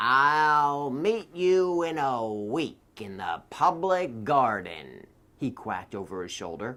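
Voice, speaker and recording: On a very clean recording with a silent background, a man in a put-on character voice speaks fairly slowly at a medium pitch. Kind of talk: children's read-aloud story. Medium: read story.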